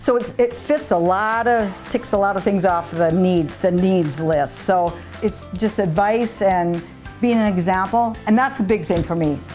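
Over music in the background, a woman speaks at medium pitch and a fairly slow pace in an upbeat tone, with ordinary pitch variation and very even loudness. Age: 60s. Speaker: gym-goer, hospital patient. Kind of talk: interview answer.

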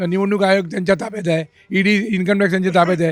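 A man is speaking in a high voice. The rise and fall of his pitch is ordinary. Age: 80s+. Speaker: senior citizen interviewed on politics. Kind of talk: street interview. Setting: outdoors in a public garden.

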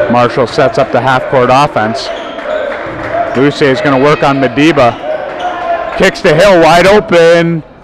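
Noticeable background noise behind a man's animated, fairly high voice, with very even loudness, ordinary pitch variation and a dry sound with no echo. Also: fairly slow pace. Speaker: play-by-play commentator. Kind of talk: sports commentary. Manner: animated, rising excitement on big plays. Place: stadium.

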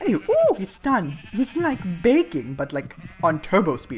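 Someone talks at a moderate pace, with noticeable background noise behind them. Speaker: gaming youtuber. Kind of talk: let's play commentary. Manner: animated.

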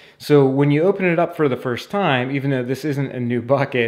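With ordinary pitch variation and a fairly quick pace, a man talks while the background stays quiet. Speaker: home repair instructor. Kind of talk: tutorial. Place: bathroom. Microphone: phone near.

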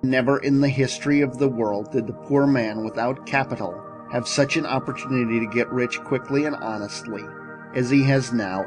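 Lively intonation moves at a moderate pace over music in the background. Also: man, medium pitch for a man. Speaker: Baptist minister and orator. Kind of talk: motivational sermon-style speech.

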